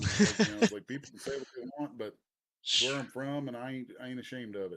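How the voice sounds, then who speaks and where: A man with a Kentucky accent and a medium-pitched voice. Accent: Kentucky accent, once hidden, now kept. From Eastern Kentucky (Bath County, Appalachia). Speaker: comic book writer and artist. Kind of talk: live interview. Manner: casual, halting with repetitions.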